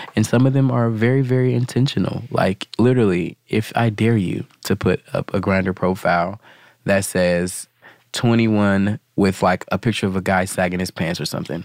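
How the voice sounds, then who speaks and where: A man with an ordinary speaking voice, fairly low pitch, ordinary pitch variation and a moderate pace, in a dry, close sound with no echo. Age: young. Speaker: ballroom community member. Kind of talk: group conversation.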